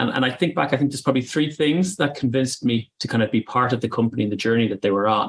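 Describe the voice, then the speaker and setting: In an Irish accent, the words come at a very fast pace with hardly any pauses. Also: man, medium pitch for a man, ordinary pitch variation. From Ireland. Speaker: company managing director. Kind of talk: interview.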